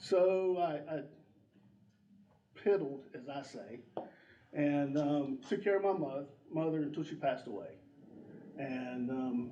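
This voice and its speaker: Audible room echo surrounds a man's fairly high-pitched voice. He speaks fairly slowly, with long, frequent pauses. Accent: North Carolina. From US South, North Carolina (Drexel). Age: 60s. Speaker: election candidate. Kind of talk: candidate forum speech. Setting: community room with audience.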